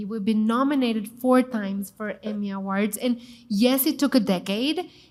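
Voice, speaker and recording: A woman with a Mexican accent, fairly high in pitch and somewhat breathy, at a moderate pace with ordinary pitch variation. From Mexico City. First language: Spanish. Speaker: TV chef and cooking show host. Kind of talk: panel discussion. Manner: animated.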